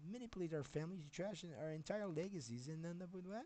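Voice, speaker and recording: The voice carries a Quebec accent. Its tone is dark and mellow. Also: man. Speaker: software developer streamer. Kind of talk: livestream rant. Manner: halting.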